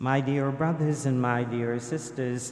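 A man's medium-pitched, slightly mellow voice at a fairly slow pace, fairly even intonation, and audible room echo

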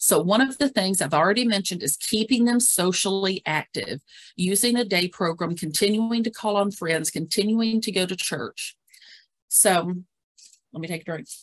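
With a normal speaking voice, a woman talks at a medium pitch and moderate pace, with ordinary pitch variation and a dry, close sound with no echo. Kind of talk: webinar presentation. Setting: video call.

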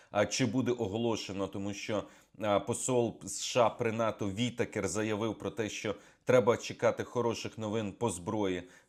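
On a very clean recording with a silent background, a man with a fairly low pitch talks at a moderate pace in a monotone, flat intonation. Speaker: military analyst. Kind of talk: news briefing monologue.

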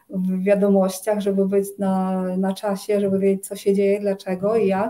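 Speaking at a fairly slow pace, a woman with a Ukrainian accent has a dark, mellow tone and monotone, flat intonation. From Ukraine. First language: Ukrainian (speaking Polish). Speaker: Ayurveda consultant; interviewee. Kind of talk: interview conversation. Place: home room.

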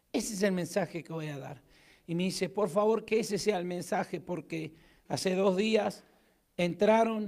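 The speaker has an Argentine accent, talking at a moderate pace with ordinary pitch variation against a quiet background. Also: man. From Argentina. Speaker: pastor. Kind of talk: sermon. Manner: animated. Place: church. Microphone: handheld.

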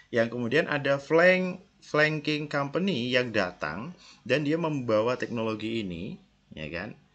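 A man with lively intonation. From Indonesia, Yogyakarta; Indonesia. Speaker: university lecturer. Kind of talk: recorded lecture. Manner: casual, conversational. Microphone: headset.

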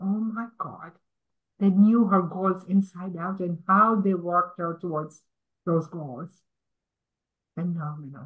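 A woman talks at a very slow pace with long, frequent pauses and a somewhat breathy sound, her pitch varying in an ordinary way against a quiet background. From Tanzania. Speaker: nursing leader in government; guest. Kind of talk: panel discussion. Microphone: video call.

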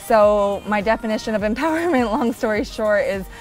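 A woman talking at a fairly quick pace, with faint music in the background. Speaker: interview guest. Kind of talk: interview answer. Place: garden.

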